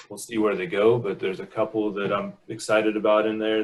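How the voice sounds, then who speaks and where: A man speaks with a fairly low pitch. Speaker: wildfire program coordinator. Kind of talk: online meeting presentation. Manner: fast.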